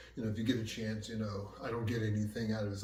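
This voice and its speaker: A man with an American accent, plus audible room echo. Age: 60s. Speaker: martial arts instructor. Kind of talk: casual talk to camera. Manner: conversational, filler-heavy.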